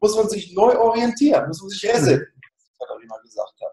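With lively intonation, a man speaks in a high pitch and a dark, mellow tone, with audible room echo around him. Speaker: sales and marketing consultant; sales. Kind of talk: interview. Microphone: video call.

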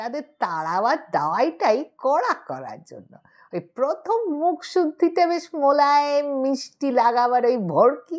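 A female-sounding, put-on character voice, high-pitched, shrill and raspy, at a fairly slow pace over a quiet background. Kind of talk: comic ghost-story acting. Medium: read story. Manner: mocking, sneering.

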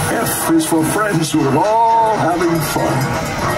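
A man is speaking. Loud music plays behind him. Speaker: ride narrator. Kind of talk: rhyming storybook narration. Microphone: pa.

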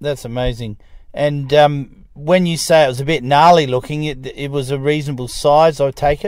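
Here a man with an Australian accent speaks at a moderate pace with fairly even intonation. The sound is dry with no echo, and the background is quiet. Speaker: interviewer, group organiser. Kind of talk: phone interview questions.

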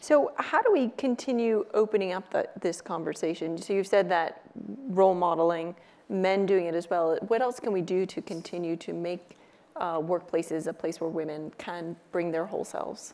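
A woman with an American accent, fairly low in pitch with ordinary pitch variation, a dark, mellow tone and a moderate pace. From US. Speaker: panel moderator. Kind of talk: panel discussion. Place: stage. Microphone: lapel.

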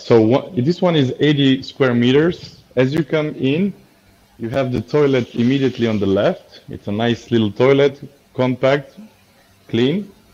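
The voice has a dark, mellow tone and moves at a fairly slow pace. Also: man, ordinary pitch variation. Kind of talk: property tour commentary. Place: home room. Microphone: video call.

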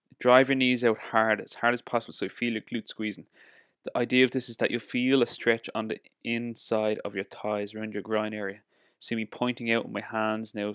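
The background is quiet and the sound is dry, with no echo. A man talks at a fairly quick pace in a monotone with flat intonation. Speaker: fitness coach. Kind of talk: tutorial. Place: gym.

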